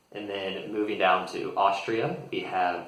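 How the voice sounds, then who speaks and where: A man with an American accent speaks at a fairly slow pace in a relaxed tone. There is audible room echo and noticeable background noise. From United States. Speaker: English teacher. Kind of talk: tutorial. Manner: relaxed with frequent fillers.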